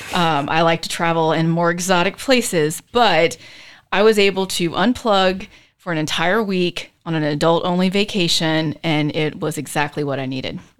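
On a very clean recording with a silent background, a woman speaks with an American accent. Her pace is moderate, and her pitch varies in an ordinary way. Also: fairly low pitch for a woman. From US South, Charleston, South Carolina. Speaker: city planning director. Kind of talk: interview. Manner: lively.

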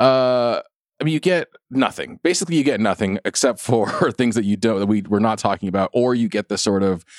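Here is a man with an ordinary speaking voice, lively intonation and a fairly quick pace. The very clean recording has a silent background and a dry, close sound with no echo. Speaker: podcast host. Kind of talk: casual chat, interview.

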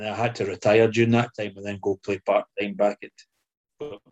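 Fairly quick and monotone, a man talks with flat intonation at a fairly low pitch, in a dry, close sound with no echo. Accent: Scottish. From Scotland. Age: 60s. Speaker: former footballer. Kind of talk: casual interview.

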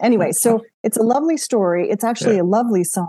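Dark, mellow tone from a woman, her pitch varying in an ordinary way. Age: 50s. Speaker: environmental author and former international development professional. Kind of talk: casual chat.

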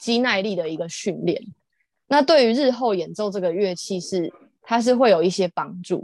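A woman with a plain, everyday voice speaks at a medium pitch with lively intonation against a quiet background. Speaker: visually impaired harpist and singer. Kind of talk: casual interview chat.

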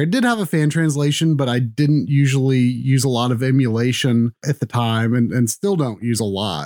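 In an ordinary speaking voice, a man talks at a moderate pace with a fairly high pitch and ordinary pitch variation, captured in a very clean recording with a silent background and a dry, close sound with no echo. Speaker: podcast panelist.

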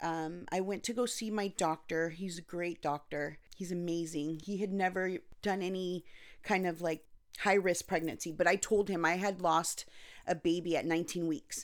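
A woman with an American accent, a plain, everyday voice, fairly low pitch, fairly even intonation and a moderate pace, on a very clean recording with a silent background. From Anaheim, California (Costa Rican parents). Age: 40s. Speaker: NICU parent. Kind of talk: casual chat. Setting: home.

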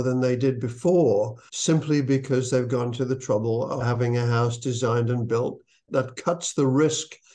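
At a moderate pace, a man speaks at medium pitch in a dark, mellow tone with fairly even intonation. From UK. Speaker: building industry expert, summit organizer. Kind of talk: interview.

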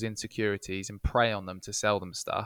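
A man with an English accent speaks at a moderate pace on a very clean recording with a silent background and a dry, close sound with no echo. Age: 30s. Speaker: marketing agency co-founder. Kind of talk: casual interview.

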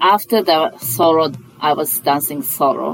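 Speaking at a very slow pace with lively intonation, a woman uses a very deep, low pitch over noticeable background noise. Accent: Japanese. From Japan, Sapporo. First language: Japanese. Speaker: chef. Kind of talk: casual chat. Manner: halting.

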